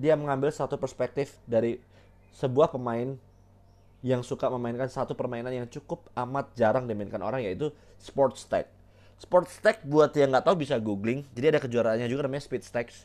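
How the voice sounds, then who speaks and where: An animated man at medium pitch, ordinary pitch variation, fairly quick pace. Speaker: solo podcast host, film reviewer. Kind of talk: casual solo film review monologue. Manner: animated, heavy Indonesian-English code-switching.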